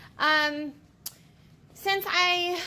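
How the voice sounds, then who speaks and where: A woman's voice is raised and projected. Her tone is bright and sharp. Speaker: elementary school teacher vlogger. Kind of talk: casual vlog. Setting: classroom. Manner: animated.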